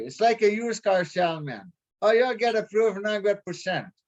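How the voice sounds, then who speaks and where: A man talks at a moderate pace. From Quebec. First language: French. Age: 30s. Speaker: prospective real estate investor. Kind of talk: casual chat. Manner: halting.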